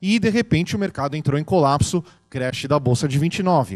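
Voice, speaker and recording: The background is quiet while a man speaks. His intonation is lively and his pace is moderate. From Brazil. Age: 30s. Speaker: tech entrepreneur; conference speaker. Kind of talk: talk; public talk. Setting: stage with audience. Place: hall. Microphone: handheld.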